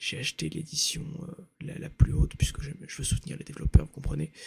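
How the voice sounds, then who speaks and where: Speaking at a moderate speed is a man. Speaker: ASMR creator. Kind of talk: rambling casual talk to camera, ASMR. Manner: soft-spoken, hesitant with many fillers.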